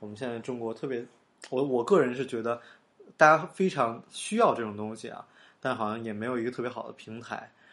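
A man at medium pitch, fairly quick pace, ordinary pitch variation and big swings in loudness. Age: young. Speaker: podcast host. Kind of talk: casual monologue. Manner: halting, many fillers.

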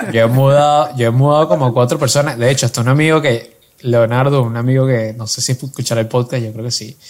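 At a very fast pace and with hardly any pauses, a man speaks at a medium pitch with fairly even intonation. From Venezuela. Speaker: podcast co-host. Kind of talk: casual chat.

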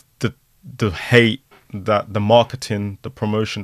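A man with a London accent speaks at a moderate pace. His intonation is monotone and flat, and the sound is dry and close with no echo. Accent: London, multicultural London English. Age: young. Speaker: social media personality. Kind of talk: casual chat.

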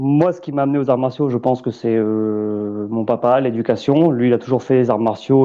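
A man talks at a moderate pace in a southwestern French accent. His pitch is medium, with ordinary variation. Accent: southwest French. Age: 30s. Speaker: ex-gendarme, landscaper. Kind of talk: casual chat.

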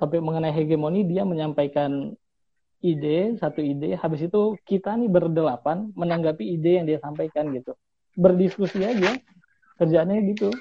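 At a fairly quick pace, a man speaks high with ordinary pitch variation. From Bengkulu, Indonesia. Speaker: PhD student. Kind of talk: casual interview. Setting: remote call.

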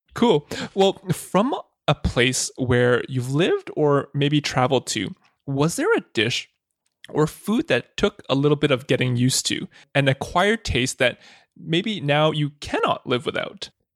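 A man's fairly high, normal speaking voice with lively intonation at a fairly slow pace, dry and close with no echo. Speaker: podcast host. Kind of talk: interview.

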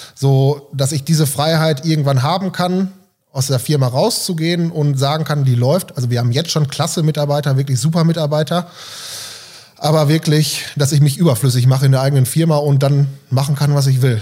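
Over noticeable background noise, a man talks fairly quickly at a fairly high pitch. His intonation is fairly even and his loudness very even. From Germany, East Westphalia (Delbrück/Hövelhof area). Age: 30s. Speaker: volunteer firefighter and gym member. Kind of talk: casual interview.

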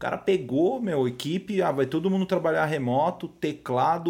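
Talking at a moderate pace in a São Paulo accent, a man uses lively intonation. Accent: Paulistano Brazilian Portuguese. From São Paulo, Brazil (Zona Norte). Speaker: music producer and composer. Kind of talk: casual interview chat. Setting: studio. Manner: hesitant with frequent repetitions.

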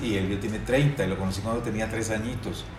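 Ordinary pitch variation against noticeable background noise and audible room echo. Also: man. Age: 50s. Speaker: actor. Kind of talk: casual chat.

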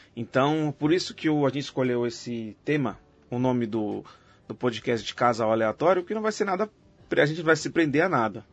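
Lively intonation marks this man's medium-pitched voice as he talks at a fairly quick pace. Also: long, frequent pauses. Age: 30s. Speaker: podcast host. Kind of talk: casual chat.

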